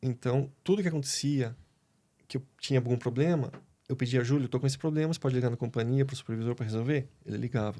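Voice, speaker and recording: Talking at a very fast pace, a man with a medium pitch and a dark, mellow tone keeps his intonation fairly even. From Brazil, Curitiba (Paraná). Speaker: pool worker interviewed on a podcast. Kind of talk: casual interview chat.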